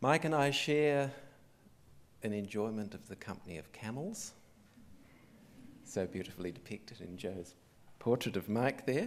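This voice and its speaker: A man with a slight English accent, lively intonation and long, frequent pauses. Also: medium pitch for a man, moderate pace, big swings in loudness. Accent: slight English accent retained. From Australia, arrived from England at age six. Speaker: museum director. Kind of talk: opening speech. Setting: theatre with live audience. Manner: formal.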